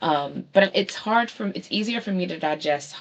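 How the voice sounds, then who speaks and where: A woman with a strong Baltimore accent, very wide pitch swings and a moderate pace. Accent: thick Baltimore. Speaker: book show host. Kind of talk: casual monologue show recap. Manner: hesitant, many fillers.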